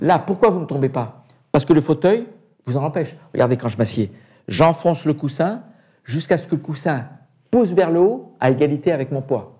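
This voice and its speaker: A man's fairly high, somewhat breathy voice with a dark, mellow tone, lively intonation, a moderate pace and long, frequent pauses, on a very clean recording with a silent background. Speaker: retired astronaut. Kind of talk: interview.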